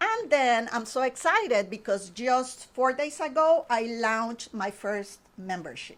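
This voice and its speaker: In a Spanish accent, a woman with a fairly high pitch talks at a very slow pace with lively intonation. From Honduras. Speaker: painting instructor. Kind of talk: interview. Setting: studio.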